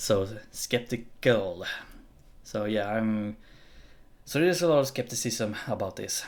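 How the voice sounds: A man's fairly low voice at a slow pace. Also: lively intonation.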